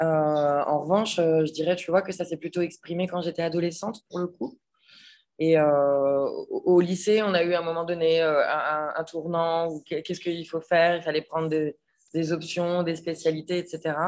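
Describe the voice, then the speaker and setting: A woman's fairly low voice in a flat monotone at a fairly slow pace. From western France (Nantes, Vendée). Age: 30s. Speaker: chef and restaurant owner. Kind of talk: casual interview chat.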